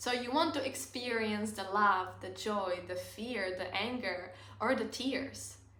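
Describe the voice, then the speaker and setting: A woman with a non-native accent talks at a fairly slow pace in a bright, sharp tone. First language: not English. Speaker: self-help content creator. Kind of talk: casual talk to camera.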